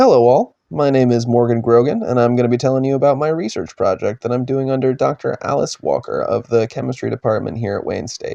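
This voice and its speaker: Talking at a very fast pace, a man comes across in a dry, close sound with no echo. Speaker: undergraduate researcher. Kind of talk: research presentation.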